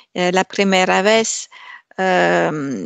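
A woman at medium pitch with a French accent, at a very slow pace. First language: French (speaking Spanish). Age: 50s. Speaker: Spanish language student. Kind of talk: interview. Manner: halting, many hesitations.

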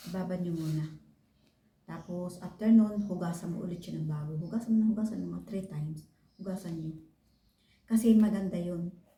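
At a fairly quick pace, a woman with a somewhat breathy, fairly low voice speaks with big swings in loudness amid audible room echo. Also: fairly even intonation. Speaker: vlogger. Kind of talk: tutorial. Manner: casual.

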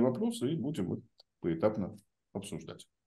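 This man's voice is fairly high in pitch. The background is quiet. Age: 50s. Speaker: podcast host; host of the discussion. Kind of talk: panel discussion. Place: home room. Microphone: video call.

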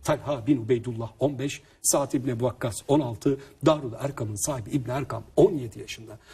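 Speaking fairly slowly with hardly any pauses, a man has a medium pitch and a dark, mellow tone. His voice is somewhat breathy, with ordinary pitch variation. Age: 30s. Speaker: author and family seminar speaker. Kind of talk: interview talk. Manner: animated.

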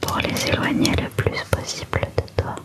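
Someone whispers in a gentle tone over loud background noise. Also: woman. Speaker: ASMR creator. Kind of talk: soft ASMR guided talk. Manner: gentle intimate ASMR whisper. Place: home room. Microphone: studio mic.

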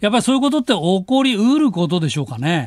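The background is quiet behind this man. His voice sounds dry, without any echo. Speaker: news commentator. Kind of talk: casual political commentary. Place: studio.

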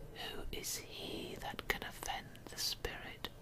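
A woman speaks in a whisper. Her pace is very slow. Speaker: poetry reader. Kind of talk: ASMR poetry reading. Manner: whispered. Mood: calm, intimate. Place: home room. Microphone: studio mic.

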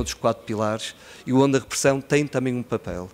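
A very fast-talking man at medium pitch, with ordinary pitch variation. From Portugal, Porto (born in Guinea-Bissau); Portugal. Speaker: NGO executive director. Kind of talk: conference speech. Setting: conference stage with audience. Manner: relaxed, smiling delivery. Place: hall. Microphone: podium.

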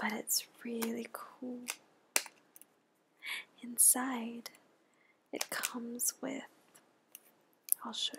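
Soft-spoken and gentle in tone, the voice moves at a very slow pace with long, frequent pauses over noticeable background noise. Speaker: ASMR creator. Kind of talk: ASMR soft-spoken show-and-tell. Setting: studio, close mic. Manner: slow, gentle, with pauses. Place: home room.

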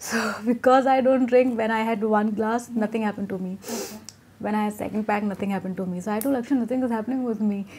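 A woman's fairly high voice at a very fast pace, with fairly even intonation and light background noise. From Etawah, Uttar Pradesh, India. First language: Hindi. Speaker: Bollywood actress. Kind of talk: casual interview. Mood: relaxed, laughing, candid. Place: home room. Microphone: lapel.

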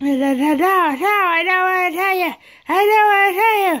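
This is a cartoonish character voice at an extremely high pitch. It moves at a moderate pace. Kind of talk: puppet show. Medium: puppet.

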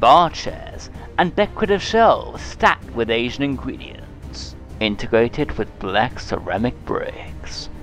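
Music plays behind a man who speaks at a fairly slow pace. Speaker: food reviewer. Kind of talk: food review narration in mock trailer style.

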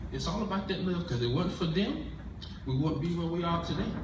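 A man with a high pitch talks at a fairly quick pace with ordinary pitch variation. Noticeable background noise and audible room echo fill the recording. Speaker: comic church skit performer. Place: church.

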